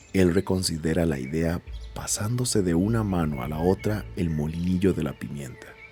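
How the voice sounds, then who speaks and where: Moderately paced speech from a man with a very deep, low voice and lively intonation, music in the background. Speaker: podcast host and narrator. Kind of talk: audio narration of a short story.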